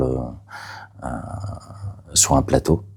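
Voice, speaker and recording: Noticeable background noise sits behind a man whose voice is pitched very deep and low. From Catalonia, Spain. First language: Catalan (speaking French). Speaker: playwright. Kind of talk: interview. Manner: halting, many hesitations.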